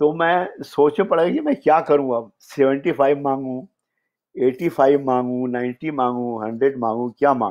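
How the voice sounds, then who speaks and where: A man with a fairly high pitch and ordinary pitch variation talks in an ordinary speaking voice. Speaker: screenwriter. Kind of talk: storytelling interview.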